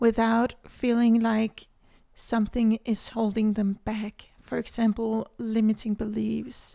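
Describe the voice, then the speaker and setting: A woman with a Danish accent talks at a very slow pace in a fairly high pitch, her intonation monotone and flat and her tone dark and mellow. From Denmark. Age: 20s. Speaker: manifestation coach, podcast host. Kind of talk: casual podcast monologue.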